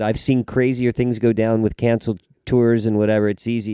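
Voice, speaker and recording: A man with a Southern Californian accent at a moderate pace. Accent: Southern California American. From Los Angeles, US. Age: 50s. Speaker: touring drummer. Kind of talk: casual interview.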